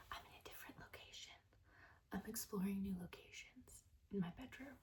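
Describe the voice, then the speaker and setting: Whispering, the speaker goes at a fairly quick pace. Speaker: ASMR creator. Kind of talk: casual ASMR talk to camera. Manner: whispered.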